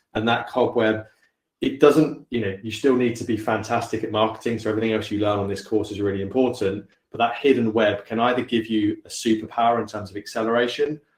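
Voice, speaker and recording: A very fast, somewhat breathy man at medium pitch, fairly even intonation, quiet background. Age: 40s. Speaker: company founder. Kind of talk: panel talk.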